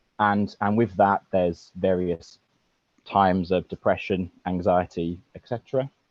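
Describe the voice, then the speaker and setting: A man with a very deep, low voice speaks at a fairly slow pace, his intonation fairly even but his loudness swinging widely. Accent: British. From UK. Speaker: caller. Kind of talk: personal account on call-in. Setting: video call. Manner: hesitant, many fillers.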